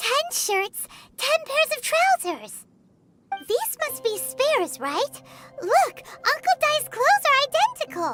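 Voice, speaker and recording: In a put-on character voice with an extremely high pitch, the speaker goes fairly slowly, with long, frequent pauses. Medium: video game. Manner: lively, curious.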